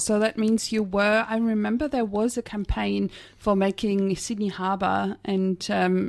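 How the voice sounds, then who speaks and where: This woman has a normal speaking voice at a medium pitch with fairly even intonation, captured in a very clean recording against a silent background. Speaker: radio science show host. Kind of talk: radio interview. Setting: radio studio.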